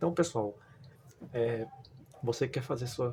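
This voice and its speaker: With ordinary pitch variation, a man talks over noticeable background noise. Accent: northeastern Brazilian. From Northeast Brazil. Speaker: YouTuber, construction worker. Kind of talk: tutorial. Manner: casual, filler-heavy.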